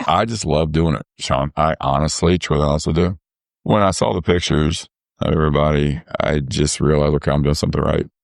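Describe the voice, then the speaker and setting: A man with a very deep, low pitch talks at a fairly quick pace, his voice showing vocal fry. His intonation is fairly even, and the sound is dry and close with no echo. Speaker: softball umpire. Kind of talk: casual chat. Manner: halting.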